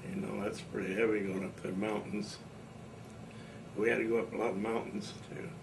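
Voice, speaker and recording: With a Midwestern US accent and fairly low pitch, a man speaks at a fairly quick pace with fairly even intonation and long, frequent pauses, amid noticeable background noise and audible room echo. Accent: rural Midwestern American. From Indiana. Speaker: war veteran. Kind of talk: oral history interview. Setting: at home. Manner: casual.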